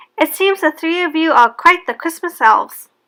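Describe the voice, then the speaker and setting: A woman puts on a squeaky character voice at an extremely high pitch. She speaks at a moderate pace with lively intonation. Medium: read story. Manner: booming, cheerful.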